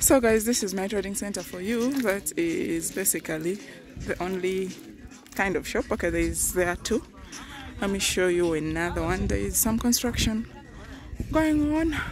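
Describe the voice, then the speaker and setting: A woman's voice with long, frequent pauses, dry and without echo, over noticeable background noise. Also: moderate pace. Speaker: vlogger. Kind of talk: casual vlog chat. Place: open country. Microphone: phone near.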